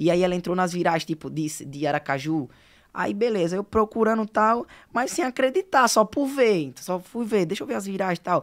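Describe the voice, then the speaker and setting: A man speaks in a high voice with lively intonation against a quiet background. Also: moderate pace. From Alagoas, Brazil (União dos Palmares); Alagoas, Brazil. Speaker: singer; podcast guest. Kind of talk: casual interview. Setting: studio. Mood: relaxed, casual. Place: studio. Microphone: studio mic.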